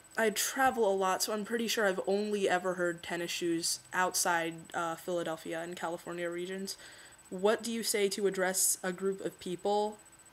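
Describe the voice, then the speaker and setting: At a fairly slow pace, a woman talks in a plain, everyday voice at medium pitch. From Philadelphia, born in California. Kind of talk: casual talk to camera.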